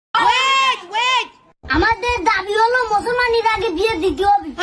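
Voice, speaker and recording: At an extremely high pitch, a cartoonish character voice talks at a moderate pace. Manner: repetitive, insistent.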